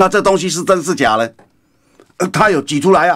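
The background is quiet. The speaker talks very fast with vocal fry. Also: man. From Taiwan. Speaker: radio political commentator. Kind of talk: radio commentary monologue; radio commentary. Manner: animated; frequent fillers. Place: studio. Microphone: studio mic.

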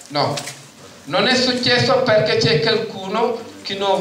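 A man speaks at a fairly slow pace, with light background noise and audible room echo. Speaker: tenants' union delegate. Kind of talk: conference speech. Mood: indignant, earnest. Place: hall. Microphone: handheld.

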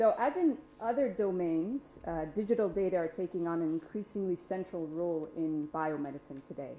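A woman's fairly low voice at a fairly quick pace with lively intonation, amid audible room echo and light background noise. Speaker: academic panelist; panelist. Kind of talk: conference panel talk. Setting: stage with audience. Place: meeting room. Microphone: podium.

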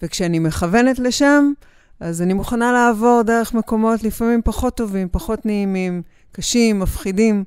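At a fairly high pitch and moderate pace, a woman speaks with ordinary pitch variation, the sound dry with no echo and the background quiet. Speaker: body psychotherapist. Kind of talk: interview answer. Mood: calm, warm, reflective. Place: studio. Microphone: studio mic.

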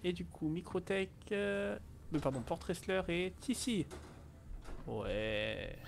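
Over light background noise, a man talks at a very slow pace, leaving long, frequent pauses. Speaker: Twitch streamer; streamer. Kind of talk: casual chat. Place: home room. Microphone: headset.

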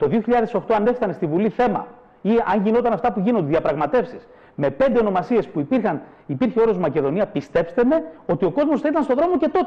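A man speaks in an animated tone at a fairly quick pace. His pitch is high and swings very widely. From northern Greece. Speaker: president of a cultural associations federation; guest. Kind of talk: heated debate; interview answer, political argument. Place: studio. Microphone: lapel.

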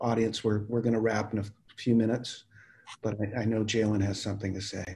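A man speaks in a somewhat breathy voice. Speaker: university dean and moderator; moderator. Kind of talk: moderated discussion. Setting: video call. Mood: calm, courteous. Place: home room. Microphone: video call.

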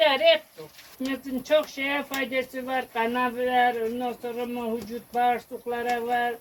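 Over noticeable background noise, a woman talks at a high pitch and a very slow pace. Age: 70s. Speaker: village farmer, mulberry molasses maker. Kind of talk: interview answer.

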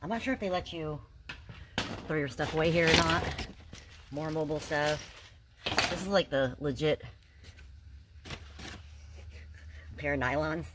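Long, frequent pauses mark a woman's speech over noticeable background noise. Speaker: storage unit reseller vlogger. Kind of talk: casual vlog chat. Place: garage. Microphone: phone near.

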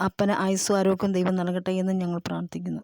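Recorded very cleanly with a silent background and a dry, close sound with no echo, a woman speaks at medium pitch. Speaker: family vlogger presenting her elderly father. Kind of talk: informal testimony to camera. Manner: halting.

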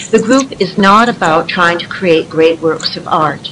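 A woman at a fairly slow pace, with ordinary pitch variation and light background noise. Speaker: writing group facilitator. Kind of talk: prepared presentation. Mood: earnest, calm. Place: office. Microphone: video call.

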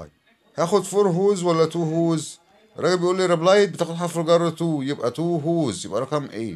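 A man with an Egyptian accent speaks in a high voice. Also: ordinary pitch variation, moderate pace. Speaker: English teacher. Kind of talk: tutorial.

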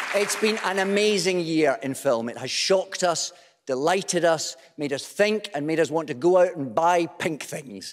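Crowd noise sits in the background as a man speaks at a moderate pace. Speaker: awards show host. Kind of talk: comic host patter introducing presenters. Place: stage. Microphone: podium.

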